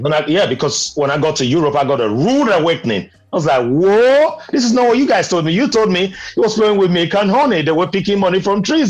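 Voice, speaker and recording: A man with a high pitch and very wide pitch swings talks at a fairly quick pace with hardly any pauses and very even loudness. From Nigeria, Benin City. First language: Nigerian Pidgin. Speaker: podcast panelist. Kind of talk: casual chat. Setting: video call.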